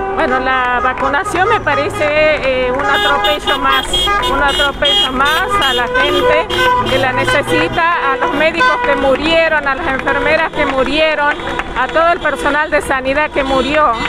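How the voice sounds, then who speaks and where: In a room with audible echo and music in the background, a woman uses a raised, projected voice at a high pitch, with very even loudness and lively intonation. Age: 60s. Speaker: protester. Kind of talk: street interview.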